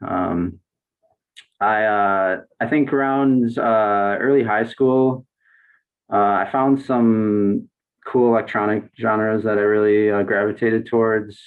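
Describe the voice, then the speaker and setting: In an American accent, a man with a fairly low pitch talks very slowly, his intonation fairly even and his loudness very even. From Wisconsin, Racine. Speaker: composer and improviser. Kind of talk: casual chat.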